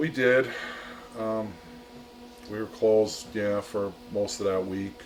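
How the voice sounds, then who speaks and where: A man with an American accent speaks at a very slow pace and a fairly low pitch. Long, frequent pauses break his speech, and there is noticeable background noise. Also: fairly even intonation. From Chicago. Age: 60s. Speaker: diner owner. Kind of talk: interview.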